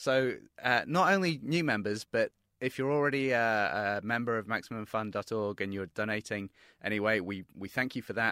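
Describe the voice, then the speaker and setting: A speaker with a British accent talks at a fairly quick pace with a bright, sharp tone and ordinary pitch variation. The recording is very clean, with a silent background, and the sound is dry and close with no echo. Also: man. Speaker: podcast producer. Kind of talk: pledge drive pitch.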